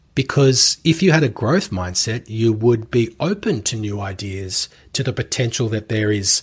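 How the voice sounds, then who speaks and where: On a very clean recording with a silent background, a man speaks with an Australian accent. His voice is medium-pitched and somewhat breathy, at a moderate pace. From Australia (Melbourne). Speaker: podcast host and commercial real estate coach. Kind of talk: solo podcast monologue.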